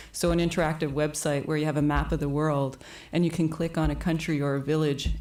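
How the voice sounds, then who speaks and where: A woman's very deep, low voice, very fast, monotone and flat, at very even loudness. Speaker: filmmaker. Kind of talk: panel discussion.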